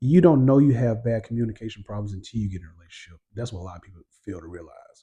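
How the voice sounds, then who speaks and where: A man talks at a very fast pace with lively intonation and big swings in loudness. His tone is dark and mellow, and somewhat breathy. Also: medium pitch for a man. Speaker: podcast co-host, husband. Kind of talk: casual chat. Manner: clipped, short sentences.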